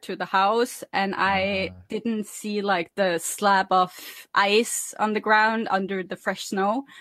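Speaking in a Norwegian accent, a woman has a fairly high pitch. She talks at a fairly slow pace. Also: quiet background. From Norway. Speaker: podcast host. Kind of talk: casual chat.

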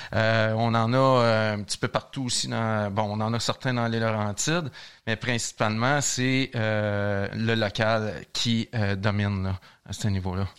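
A man with a Quebec accent, medium in pitch, very slow and fairly even in intonation, on a very clean recording with a silent background. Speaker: brewmaster. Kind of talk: casual interview.

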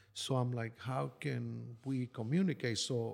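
On a very clean recording with a silent background, a man with a Spanish accent speaks at medium pitch with fairly even intonation. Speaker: construction worker. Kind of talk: personal life story. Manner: halting with frequent fillers.

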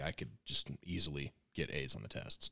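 The recording of this man is dry and close with no echo, and his voice carries vocal fry. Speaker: podcast co-host. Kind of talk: casual chat.

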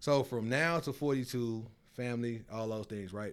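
In a very clean recording with a silent background, a man with a Memphis accent speaks at a moderate pace. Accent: Southern US (Memphis). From US South, Memphis. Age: 40s. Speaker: chef and restaurateur. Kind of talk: casual chat.

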